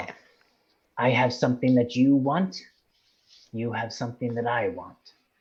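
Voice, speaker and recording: At a moderate pace, a hissing, put-on character voice speaks with long, frequent pauses. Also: man, medium pitch for a man. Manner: sly, hissing.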